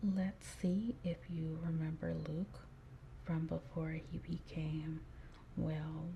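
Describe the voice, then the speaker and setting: Over noticeable background noise, a soft-spoken woman talks in a calm tone at a very slow pace, with long, frequent pauses. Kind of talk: soft-spoken ASMR quiz. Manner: soft-spoken, slow, calm.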